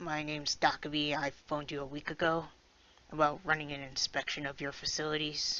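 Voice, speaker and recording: A raspy put-on character voice at low-to-middle pitch, fairly quick, with monotone, flat intonation. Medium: game stream. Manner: polite, formal.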